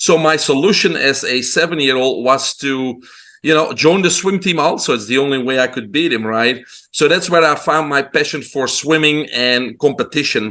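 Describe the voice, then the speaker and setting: With a Belgian accent, the speaker has a bright, sharp tone and ordinary pitch variation. The pace is moderate and the background is quiet. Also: man, fairly high pitch for a man. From Belgium. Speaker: holistic health doctor. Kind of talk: interview.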